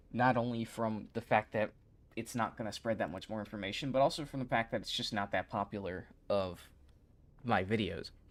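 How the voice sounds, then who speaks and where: Quiet and fairly low-pitched, a man talks at a moderate pace with ordinary pitch variation on a very clean recording with a silent background. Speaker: YouTube creator streaming. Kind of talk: casual livestream chat.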